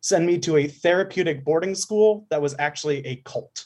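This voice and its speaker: A man with a plain, everyday voice, fairly high in pitch with ordinary pitch variation, against a quiet background. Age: 20s. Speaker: caller. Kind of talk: casual chat.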